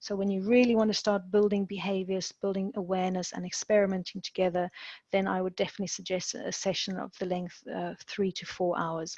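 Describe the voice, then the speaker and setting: A woman speaks at medium pitch and a fairly quick pace. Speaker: executive education academic director. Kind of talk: webinar presentation. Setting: video call webinar. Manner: fast when excited. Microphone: unstable internet connection.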